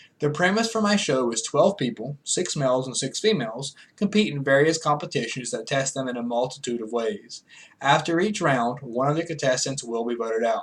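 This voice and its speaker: A man with an American accent has an unremarkable speaking voice with a fairly high pitch. His pace is fairly quick and his intonation lively. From US South, rural North Carolina foothills. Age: 20s. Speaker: student. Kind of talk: class speech. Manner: formal.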